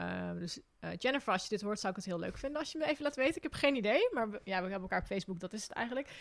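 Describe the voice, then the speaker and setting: A woman talks at a very fast pace with hardly any pauses, her pitch fairly high and her intonation lively. Vocal fry runs through her voice on a very clean recording with a silent background. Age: 30s. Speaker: podcast host, hiker and travel writer. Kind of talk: casual interview. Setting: indoor recording in Arnhem.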